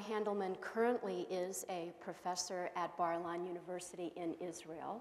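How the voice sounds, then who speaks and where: Audible room echo around a woman speaking at a fairly slow pace with ordinary pitch variation. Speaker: host introducing a lecturer. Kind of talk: formal introduction speech. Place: hall. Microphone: lapel.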